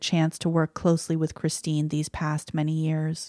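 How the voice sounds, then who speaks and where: Recorded very cleanly against a silent background, a woman talks in a normal speaking voice. Her moderate-paced speech sounds dry and close, with no echo. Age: 40s. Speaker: podcast host. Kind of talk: casual chat. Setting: home office.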